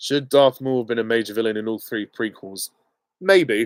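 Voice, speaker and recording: With an English accent, the speaker talks at a moderate pace with ordinary pitch variation in a dry, close sound with no echo. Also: man. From England. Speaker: YouTube film commentator. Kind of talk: live Q and A stream. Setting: live stream. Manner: casual, hesitant with many ums.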